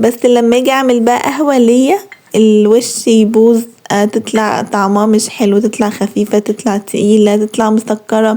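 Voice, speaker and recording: A woman with a fairly high pitch speaks at a moderate pace in a monotone, flat intonation with very even loudness. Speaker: lifestyle vlogger. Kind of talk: vlog narration. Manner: casual, chatty.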